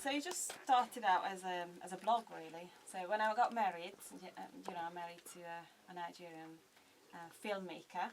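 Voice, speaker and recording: A woman speaks at a fairly quick pace broken by long, frequent pauses, with big swings in loudness and noticeable background noise. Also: medium pitch for a woman, ordinary pitch variation. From Hungary. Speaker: blogger and vlogger. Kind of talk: radio interview. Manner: hesitant, many fillers.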